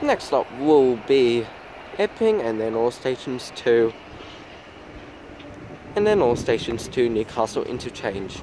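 Over faint background noise, a man with a slightly mellow tone talks at a fairly slow pace, his pitch swinging widely.

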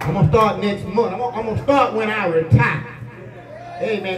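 A man talks at a fairly quick pace in a high voice. Light background noise and audible room echo are present. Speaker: pastor. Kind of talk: sermon. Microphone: camera far.

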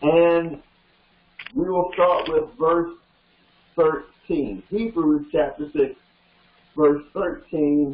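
Spoken in an American accent at a very slow pace, the voice shows ordinary pitch variation, breaks often into long pauses and carries audible room echo. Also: man, high pitch for a man. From US South (Georgia). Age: 70s. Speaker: pastor. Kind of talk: sermon. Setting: studio. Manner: animated. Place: studio.

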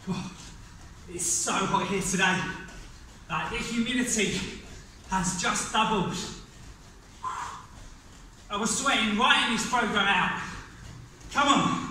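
A man at a high pitch with ordinary pitch variation, speaking at a very slow pace, with light background noise and audible room echo. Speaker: fitness instructor. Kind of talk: guided workout class. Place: gym. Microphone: camera far.

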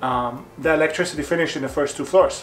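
With faint music in the background, a man speaks with fairly even intonation. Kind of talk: tutorial. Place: empty room. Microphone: camera far.

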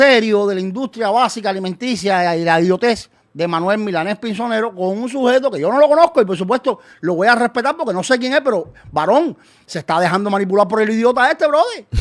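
Fairly quick, lively speech over a quiet background. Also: man, high pitch for a man. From Cuba. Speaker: activist; streamer commentator. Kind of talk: video statement. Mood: scornful, opinionated. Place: home room. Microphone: studio mic.

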